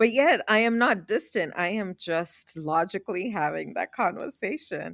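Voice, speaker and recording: In a very clean recording with a silent background, a woman speaks at a fairly slow pace with lively intonation. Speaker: podcast co-host. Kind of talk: casual conversation. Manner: loud.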